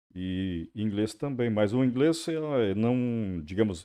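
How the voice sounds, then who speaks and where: A dark, mellow tone with very wide pitch swings against a quiet background. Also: man. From Santa Catarina interior, Brazil (German-speaking family). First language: German (speaking Portuguese). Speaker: radio journalist and interviewer. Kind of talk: podcast interview.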